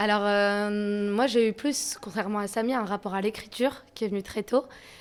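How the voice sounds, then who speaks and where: A woman with a plain, everyday voice talks at a moderate pace and medium pitch, her intonation fairly even, in a very clean recording with a silent background. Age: young. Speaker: rap electro artist. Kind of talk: interview.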